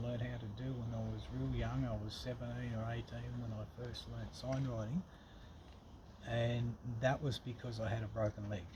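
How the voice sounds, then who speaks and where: A man speaks with an Australian accent. Background noise is noticeable throughout. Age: 60s. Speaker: furniture restorer. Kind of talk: interview. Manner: halting.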